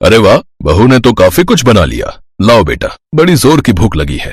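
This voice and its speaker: At a moderate pace, a man with a medium pitch performs a put-on character voice. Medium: read story.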